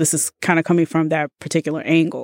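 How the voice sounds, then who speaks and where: With an American accent, a woman speaks at a fairly quick pace in a very deep, low voice, the sound dry and close with no echo. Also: very clean recording, silent background. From US South, Birmingham, Alabama. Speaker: podcast guest. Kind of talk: casual interview chat.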